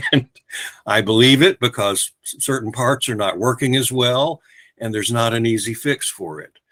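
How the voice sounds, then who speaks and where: A man with an American accent speaks at medium pitch and a moderate pace, his tone bright and sharp. His pitch variation is ordinary, his loudness swings widely, and the sound is dry and close with no echo. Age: 70s. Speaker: poet. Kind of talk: casual talk; poetry reading. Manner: halting.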